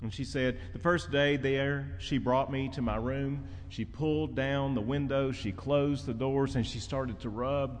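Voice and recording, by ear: A natural voice reading aloud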